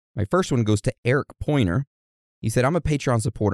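Speaking at a fairly quick pace with lively intonation, a man has an unremarkable speaking voice, captured in a very clean recording with a silent background and a dry, close sound with no echo. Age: 30s. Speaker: podcast host. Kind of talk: casual chat.

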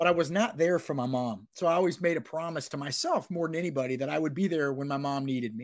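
Here a man talks at a very fast pace with an American accent. His pitch is fairly high for a man. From Florida. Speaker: sports recruiting reporter. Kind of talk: casual chat. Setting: remote call.

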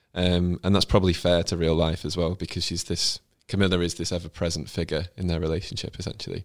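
On a very clean recording with a silent background, a man with a British accent speaks very fast in a very deep, low, monotone voice with flat intonation. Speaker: royal expert. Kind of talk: casual chat.

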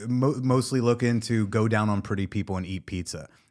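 An unremarkable speaking voice with lively intonation at a moderate pace, on a very clean recording with a silent background. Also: man. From New Jersey. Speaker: comedian and podcast host. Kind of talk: casual chat.

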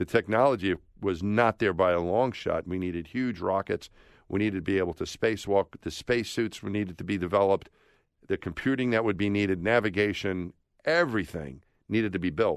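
The man's pitch is fairly low, with ordinary variation, and his pace fairly quick. The sound is dry and close with no echo, over a quiet background. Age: 50s. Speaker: former astronaut. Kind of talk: interview. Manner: animated; halting.

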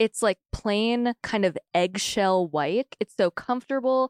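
In a normal speaking voice, a woman with an American accent talks at medium pitch with ordinary pitch variation. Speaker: podcast co-host. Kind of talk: casual chat.

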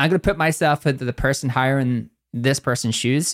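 A man with a Northern Irish accent speaks at a fairly high pitch in a dry, close sound with no echo, on a very clean recording with a silent background. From Northern Ireland. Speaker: podcast co-host. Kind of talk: casual chat. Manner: fast talker.

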